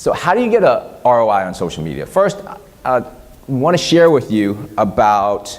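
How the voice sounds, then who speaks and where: Audible room echo surrounds a man who speaks with a Vietnamese accent at a medium pitch. His tone is animated, and his pitch swings very widely. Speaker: social media marketing consultant and speaker. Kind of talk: conference talk.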